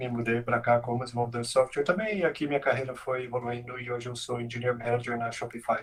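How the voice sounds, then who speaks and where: Hardly pausing at all, a man rattles along at a very fast pace in a monotone, flat intonation. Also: medium pitch for a man. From Brazil, Santa Catarina and Goiânia. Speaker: software engineering manager. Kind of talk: casual interview chat. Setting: live stream video call.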